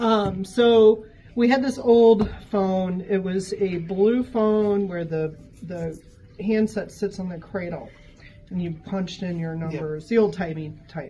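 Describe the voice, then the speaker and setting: Over light background noise, a woman with an American accent speaks at a fairly slow pace, with ordinary pitch variation and big swings in loudness. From US Midwest. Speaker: shop worker telling ghost stories. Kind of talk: ghost story telling, told in a conversational first-person way. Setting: on-site interview in a gallery, with others listening. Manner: animated, vivid, suspenseful, with laughs and asides. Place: shop. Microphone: camera far.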